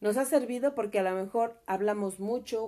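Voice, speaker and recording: This woman's voice sits fairly high. Its tone is dark and mellow, with ordinary pitch variation. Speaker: mother of the host. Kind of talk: casual chat.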